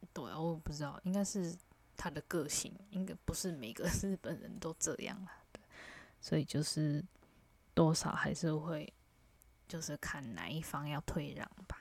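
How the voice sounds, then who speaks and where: A woman speaks in a very deep, low voice with vocal fry, ordinary pitch variation and long, frequent pauses. The recording is very clean, with a silent background. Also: fairly slow pace. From Taiwan. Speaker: vlogger. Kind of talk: casual monologue.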